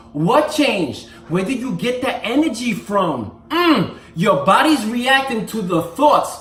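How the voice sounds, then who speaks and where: Speech proceeds at a fairly slow pace. Noticeable background noise sits beneath it. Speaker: fitness and motivational vlogger. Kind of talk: motivational talk to camera.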